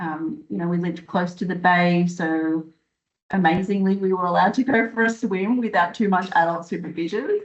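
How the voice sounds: A woman speaks at a moderate pace, her fairly low voice holding a fairly even intonation.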